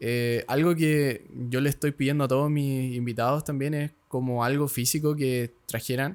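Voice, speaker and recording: A man in a Chilean accent, fairly high in pitch, with hardly any pauses. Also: fairly even intonation, moderate pace. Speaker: podcast host. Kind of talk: podcast interview.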